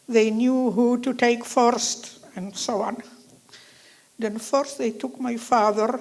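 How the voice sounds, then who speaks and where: Over noticeable background noise, a woman speaks very slowly at a high pitch with a monotone, flat intonation. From Slovakia (Nitra). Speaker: Holocaust survivor. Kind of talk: testimony.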